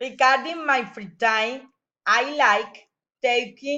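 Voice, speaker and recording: Very slowly, the speaker talks in a bright, sharp tone with a Spanish accent. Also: woman. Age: 40s. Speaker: teacher. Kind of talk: reading aloud. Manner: halting.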